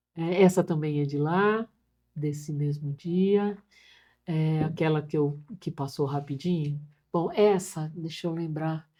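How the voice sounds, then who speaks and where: Her very deep, low voice has a dark, mellow tone as the woman speaks at a very slow pace with fairly even intonation and long, frequent pauses. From Brazil, São Paulo state. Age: 70s. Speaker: social worker. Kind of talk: interview.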